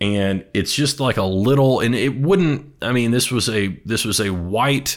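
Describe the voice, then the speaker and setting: Speaking at a fairly slow pace, a man uses an unremarkable speaking voice with ordinary pitch variation. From Texas. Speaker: music enthusiast guest. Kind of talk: casual chat.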